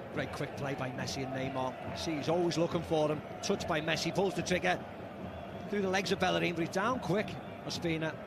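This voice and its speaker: Animated and enthusiastic, a high-pitched man talks at a fairly quick pace with ordinary pitch variation and long, frequent pauses over noticeable background noise. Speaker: football co-commentator. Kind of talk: live co-commentary on a match. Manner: animated, enthusiastic analysis.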